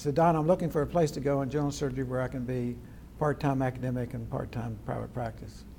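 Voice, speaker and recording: A man with an American accent, medium pitch, a dark, mellow, somewhat breathy tone, fairly even intonation, and a very fast pace. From West Virginia, Charleston area. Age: 80s+. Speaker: retired plastic surgeon. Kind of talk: oral history interview.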